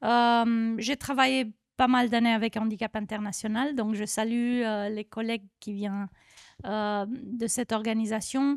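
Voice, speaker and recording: In a Romanian accent, a woman speaks at a fairly slow pace with a fairly high pitch and fairly even intonation. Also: very clean recording, silent background. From Romania, Bucharest. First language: Romanian (speaking French). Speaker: NGO federation director. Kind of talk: panel discussion. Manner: halting, many hesitations.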